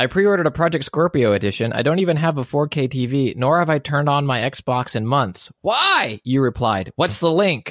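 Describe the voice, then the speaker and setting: Against a quiet background, a man with an unremarkable speaking voice talks at a fairly high pitch and a fairly quick pace, with lively intonation, very even loudness and hardly any pauses, in a dry, close sound with no echo. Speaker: podcast co-host and comedian. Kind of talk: casual chat.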